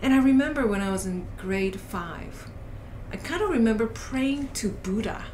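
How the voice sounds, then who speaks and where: A woman's fairly high voice with a Korean accent, lively intonation and a moderate pace, with audible room echo and noticeable background noise. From South Korea. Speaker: coach and educator. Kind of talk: casual podcast interview. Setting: podcast recording.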